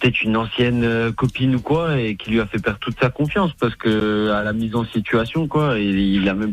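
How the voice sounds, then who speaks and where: Music plays behind a man who talks at a fairly quick pace. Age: 20s. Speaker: caller. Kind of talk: casual chat.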